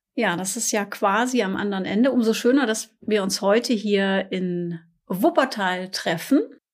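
In a very clean recording with a silent background, a woman with a plain, everyday voice speaks at medium pitch and a fairly slow pace, with ordinary pitch variation. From Ruhr area, Germany (Essen). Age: 50s. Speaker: corporate podcast co-host. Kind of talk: casual chat. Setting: company office.

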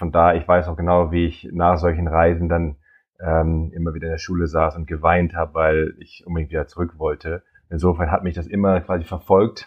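A man speaks with a very deep, low pitch. His pace is fairly quick. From Germany, Nordhorn (Lower Saxony). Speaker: biologist and safari travel agent. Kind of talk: interview conversation. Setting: remote call. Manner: hesitant, many fillers.

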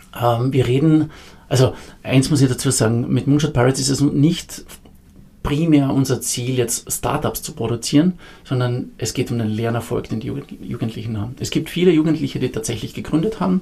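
A man's unremarkable speaking voice at medium pitch, with ordinary pitch variation and a moderate pace. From Austria, Carinthia. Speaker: founder of a youth entrepreneurship program. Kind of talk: podcast interview.

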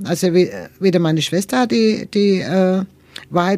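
A woman's voice has a dark, mellow tone at a medium pitch. She speaks at a fairly slow pace with ordinary pitch variation. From Nuremberg, Franconia, Germany. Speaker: interviewee sharing life story. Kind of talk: interview. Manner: halting.

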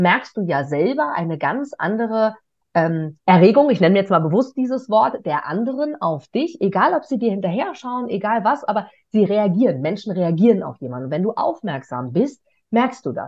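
An energetic woman's voice with very wide pitch swings at a moderate pace. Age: 30s. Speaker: stage host and interviewer. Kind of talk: interview.

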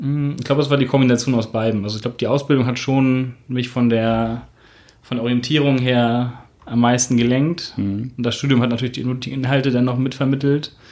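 Here a man talks at a fairly quick pace. His intonation is monotone and flat. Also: medium pitch for a man. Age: 30s. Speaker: tax advisor. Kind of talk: interview.

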